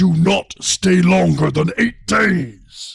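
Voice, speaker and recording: A man puts on a growling character voice at a high pitch. He speaks at a very slow pace. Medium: read story.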